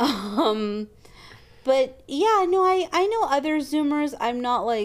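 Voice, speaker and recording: With a Canadian accent and lively intonation, a woman speaks at a very slow pace over noticeable background noise. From Canada. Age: 30s. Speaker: podcast co-host. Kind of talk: casual chat.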